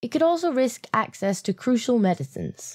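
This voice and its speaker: Here is a woman with a British accent and a dark, mellow tone. Her pitch swings very widely. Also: very clean recording, silent background. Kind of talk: political commentary video narration. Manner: sarcastic.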